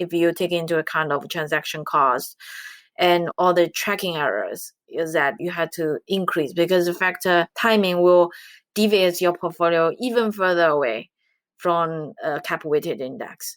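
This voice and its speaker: In a very clean recording with a silent background, a woman speaks in a Chinese accent at a moderate pace. Her pitch is fairly low, with ordinary variation. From China. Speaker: quantitative finance researcher. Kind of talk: interview.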